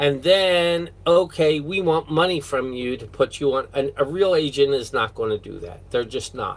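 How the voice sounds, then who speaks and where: Moving at a fairly slow pace, a man speaks with a fairly high pitch. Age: 60s. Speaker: vlogger. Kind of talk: casual vlog monologue. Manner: hesitant, with many fillers.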